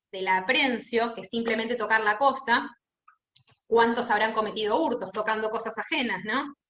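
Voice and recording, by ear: A woman speaks at a moderate pace with fairly high pitch. Her tone is fairly bright, and there is audible room echo.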